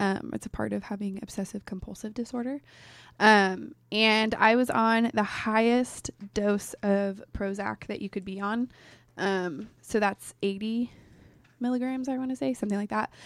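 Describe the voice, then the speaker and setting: In a very clean recording with a silent background, a woman with an ordinary speaking voice and fairly high pitch talks at a moderate pace with fairly even intonation. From Oregon, Portland area. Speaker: college student guest. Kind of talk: casual interview. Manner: laughs often, playful.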